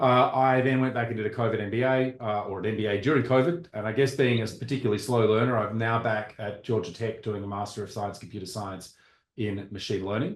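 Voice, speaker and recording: A man with an Australian accent and a medium pitch talks at a very fast pace with fairly even intonation and hardly any pauses. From Australia (Perth). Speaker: computer scientist, board member. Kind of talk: self-introduction at online public meeting. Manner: hesitant, many fillers and restarts.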